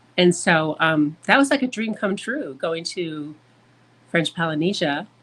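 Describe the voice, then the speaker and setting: Speaking with an Upper Midwest accent, a woman has a fairly low-pitched voice. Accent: Upper Midwest American. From US Midwest, Michigan. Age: 60s. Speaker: traveler and photographer. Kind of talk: podcast interview.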